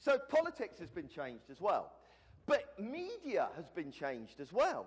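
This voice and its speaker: This man speaks with a British accent. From Britain. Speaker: conference speaker. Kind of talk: conference talk. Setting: stage with audience. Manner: casual, conversational with filler words.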